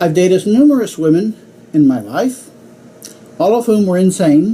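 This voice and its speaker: A high-pitched man with an American accent, lively intonation and a moderate pace. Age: 60s. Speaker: club speaker. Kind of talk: humorous speech.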